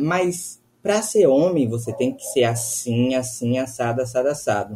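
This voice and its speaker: A man is speaking. His pace is moderate. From Bahia, Brazil. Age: 20s. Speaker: law student. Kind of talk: casual chat.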